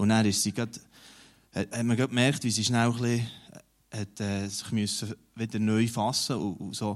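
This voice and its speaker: This man's voice sits at medium pitch with monotone, flat intonation. Long, frequent pauses break up his speech. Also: moderate pace. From Switzerland, Emmental region (Bern). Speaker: newspaper editor-in-chief. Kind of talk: interview in a church service.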